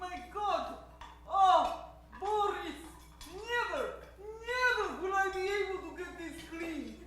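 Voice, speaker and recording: A put-on character voice with extremely high pitch moves at a fairly slow pace, broken by long, frequent pauses and carrying a clear echo. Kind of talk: old-time radio comedy sketch.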